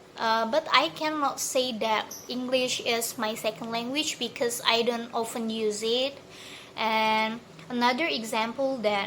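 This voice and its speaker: A woman speaks very slowly at a fairly high pitch. Her tone is bright and sharp, her intonation fairly even. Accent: Indonesian. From Indonesia, Bandar Lampung. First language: Indonesian. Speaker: university student. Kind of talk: recorded exam answer. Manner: halting, many fillers and restarts.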